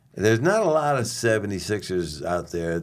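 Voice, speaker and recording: Speaking in an American accent, a man uses lively intonation. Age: 70s. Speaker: former pro baseball player. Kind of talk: podcast interview. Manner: casual, relaxed.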